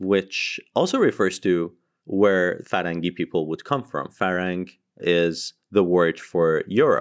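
A man's very deep, low voice at a fairly slow pace with ordinary pitch variation. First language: Persian. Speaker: podcast co-host. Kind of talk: casual chat. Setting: remote call.

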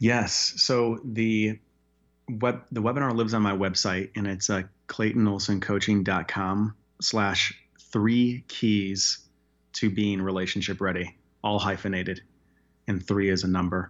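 An ordinary speaking voice from a man with an American accent, fairly low in pitch, at a fairly slow pace with fairly even intonation. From Chicago, US Midwest. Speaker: life coach and counselor. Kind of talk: radio interview.

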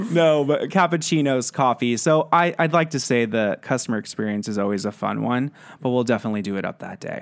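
A man with an American accent speaks at a fairly quick pace with hardly any pauses. He uses a normal speaking voice with lively intonation. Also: medium pitch for a man, very clean recording, silent background. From West Texas (San Angelo). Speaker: marketing director. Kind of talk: casual interview.

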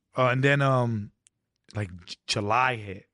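With a New York accent and lively intonation, a man talks at medium pitch against a quiet background, the sound dry and close with no echo. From New York City. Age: 30s. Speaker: social media content creator. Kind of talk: casual chat. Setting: studio.

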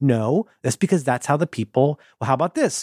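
A man with an American accent speaks in an ordinary speaking voice, fairly high in pitch with lively intonation, at a moderate pace in a very clean recording with a silent background. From Ohio, US Midwest. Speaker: podcast host. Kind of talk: casual chat.

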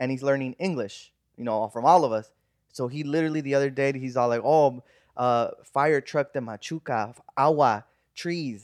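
With an American accent, a man talks at a moderate pace over a quiet background, in a dry, close sound with no echo. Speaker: podcast host. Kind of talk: casual chat.

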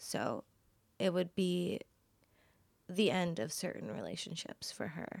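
With vocal fry and a Californian accent, a woman speaks at a fairly low pitch and a fairly slow pace, her intonation lively and her speech broken by long, frequent pauses. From Los Angeles, San Fernando Valley. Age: 20s. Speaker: design student. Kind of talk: casual chat. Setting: sitting on host's bed.

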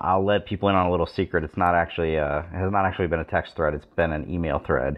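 This man has a very deep, low voice and fairly even intonation, racing along at a very fast pace with hardly any pauses. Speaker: podcast host. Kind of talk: casual sports talk podcast.

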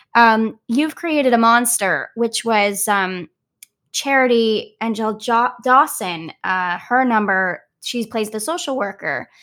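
In a very clean recording with a silent background, a woman talks at a very slow pace, her fairly high pitch showing ordinary variation. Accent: American. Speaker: Broadway actress. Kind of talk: casual interview.

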